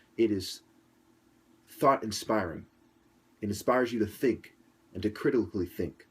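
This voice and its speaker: A soft-spoken man talks in a fairly low pitch with ordinary pitch variation. The recording is very clean with a silent background. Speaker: commentator. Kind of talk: interview.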